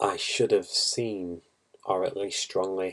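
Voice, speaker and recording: A man mumbles at a very slow pace. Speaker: poker player reviewing hands. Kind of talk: video hand review tutorial. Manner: mumbling; halting, thinking aloud.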